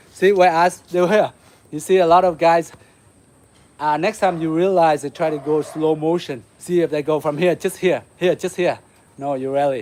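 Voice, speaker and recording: A man with a Vietnamese accent, high-pitched, at a moderate pace. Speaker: martial arts instructor. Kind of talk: live-stream martial arts class. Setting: outdoors. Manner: animated.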